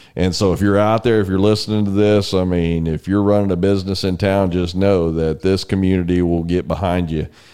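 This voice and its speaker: Speaking in a Texas accent at a fairly quick pace with hardly any pauses, a man with a very deep, low pitch holds a monotone, flat intonation and very even loudness. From Texas, San Antonio. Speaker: podcast host. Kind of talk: interview; scripted intro. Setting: studio.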